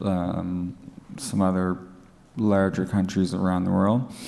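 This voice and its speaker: A man talks in a very deep, low voice with a dark, mellow tone and an East Coast Canadian accent. His intonation is monotone and flat, and there is audible room echo. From Atlantic Canada. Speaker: drug user activist. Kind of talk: conference presentation. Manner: halting, many fillers and restarts.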